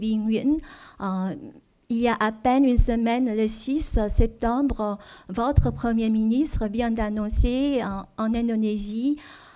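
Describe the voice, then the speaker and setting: A woman speaks very slowly in a Vietnamese accent, her voice fairly high yet dark and mellow in tone. Her intonation is fairly even, on a very clean recording with a silent background. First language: Vietnamese (speaking French). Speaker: diplomat, trade official. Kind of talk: seminar presentation. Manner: halting, many fillers.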